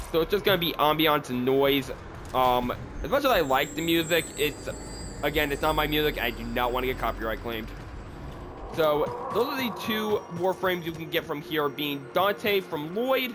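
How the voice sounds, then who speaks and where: A man with a fairly high pitch speaks at a moderate pace. Noticeable background noise runs underneath. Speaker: gaming video creator. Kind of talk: gameplay tutorial. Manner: casual.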